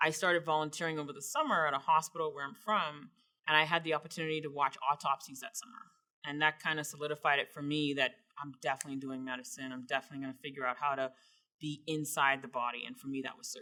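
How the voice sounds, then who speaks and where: Speaking very fast with a slight Bahamian accent, a woman uses a very deep, low pitch and a bright, sharp tone, her loudness swinging widely. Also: ordinary pitch variation. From Bahamas. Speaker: surgeon. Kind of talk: interview answers.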